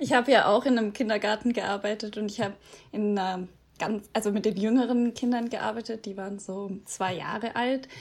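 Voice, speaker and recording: Fairly even in intonation, a woman's speech comes at a fairly quick pace. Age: 20s. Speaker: podcast host, former volunteer abroad. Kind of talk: scripted intro; casual interview.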